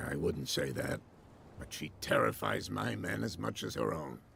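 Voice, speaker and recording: A raspy, put-on character voice at a moderate pace, with light background noise. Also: man, very deep, low pitch for a man. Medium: video game. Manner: self-assured, slightly evasive.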